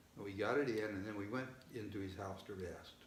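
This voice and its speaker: Noticeable background noise sits behind a man who speaks at a moderate pace in a fairly low pitch. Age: 70s. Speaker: father of seven. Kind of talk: interview answer.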